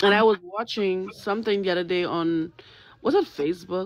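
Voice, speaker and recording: A quiet woman's voice with a dry sound and no echo. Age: 30s. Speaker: livestream guest; guest. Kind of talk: testimony. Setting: joined livestream remotely. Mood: serious, emotional. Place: home room. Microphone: phone near.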